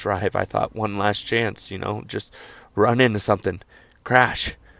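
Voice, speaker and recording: This very clean recording has a silent background. A man talks at a moderate pace with fairly even intonation. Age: 20s. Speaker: personal podcaster sharing mental health struggles. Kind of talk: personal testimony monologue. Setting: in a car. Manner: halting, with many fillers.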